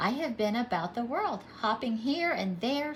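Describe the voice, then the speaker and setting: With clear background noise, a woman does a put-on character voice, high-pitched, raised and projected, at a moderate pace. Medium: read story. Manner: confident, storytelling.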